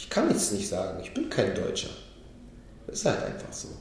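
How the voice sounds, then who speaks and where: A man is speaking. The room echo is audible. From Berlin, Germany. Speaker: rapper. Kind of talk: casual chat.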